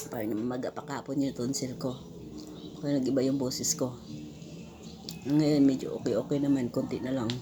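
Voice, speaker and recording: A woman with a very deep, low voice speaks with long, frequent pauses. Music plays in the background. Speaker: vlogger. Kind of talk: casual vlog chat. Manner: halting.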